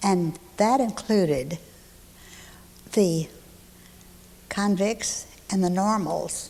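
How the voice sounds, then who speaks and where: A woman with a medium pitch. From East Texas (Huntsville). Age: 70s. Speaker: local elder recalling her childhood. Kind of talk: oral history interview.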